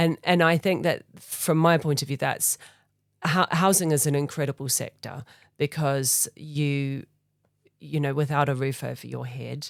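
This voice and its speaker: On a very clean recording with a silent background and a dry, close sound with no echo, a woman with a New Zealand accent speaks at a moderate pace in a very deep, low pitch with fairly even intonation. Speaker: charity foundation leader. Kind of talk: interview. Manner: hesitant, many fillers.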